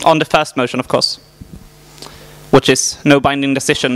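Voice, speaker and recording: The man speaks in a monotone, flat way at a moderate pace. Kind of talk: meeting chairing announcement. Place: hall. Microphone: handheld.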